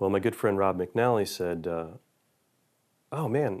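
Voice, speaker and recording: A man speaks in a plain, everyday voice with a fairly low pitch and an American accent. His intonation is lively, and the background is quiet. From Buffalo, New York. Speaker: guitar builder and session guitarist. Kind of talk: interview.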